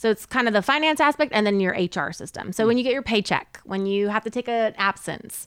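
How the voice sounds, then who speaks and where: A plain, everyday voice, a woman's with an American accent, fairly high in pitch, at a fairly quick pace with lively intonation, dry and close with no echo over a quiet background. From Southern California. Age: 40s. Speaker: HR professional. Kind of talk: casual chat.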